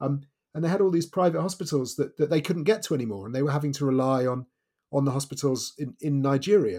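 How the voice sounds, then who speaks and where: Very fast male speech with a fairly high pitch, a dark, mellow tone and ordinary pitch variation. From Wales. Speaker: author and journalist. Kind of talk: interview.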